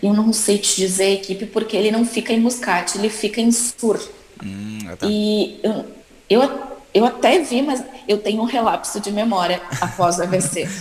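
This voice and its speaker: The speaker talks at a fairly slow pace while noticeable background noise runs underneath. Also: woman, fairly high pitch for a woman, ordinary pitch variation. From Rio Grande do Sul, Brazil (Caxias do Sul). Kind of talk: interview.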